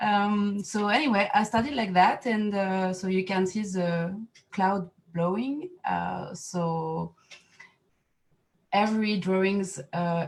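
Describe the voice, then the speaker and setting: Speaking at a very slow pace with a French accent, a woman sounds somewhat breathy, her medium pitch showing ordinary variation. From France. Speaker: artist and set designer. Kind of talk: artist talk at online exhibition reception. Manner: halting, many fillers.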